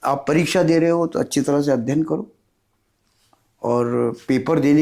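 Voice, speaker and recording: This man's voice sits fairly high, with a dark, mellow tone and ordinary pitch variation. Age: 70s. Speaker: author. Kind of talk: interview.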